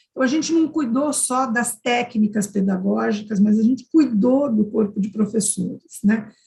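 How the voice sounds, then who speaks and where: Somewhat breathy, a woman talks with hardly any pauses. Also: fairly high pitch for a woman, ordinary pitch variation, moderate pace. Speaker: university professor, conference panelist. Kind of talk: conference presentation.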